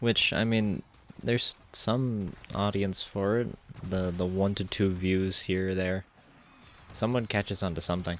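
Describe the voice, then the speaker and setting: At a fairly slow pace, a man talks in a fairly low pitch with fairly even intonation. His loudness stays very even. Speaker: gaming YouTuber. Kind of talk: casual gameplay commentary. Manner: rambling, hesitant with fillers.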